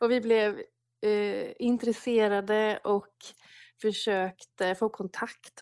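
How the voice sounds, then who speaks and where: Recorded with a dry, close sound and no echo, a woman speaks at a medium pitch with ordinary pitch variation in an unremarkable speaking voice. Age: 30s. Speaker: prayer movement leader. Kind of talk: casual interview. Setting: remote call from home.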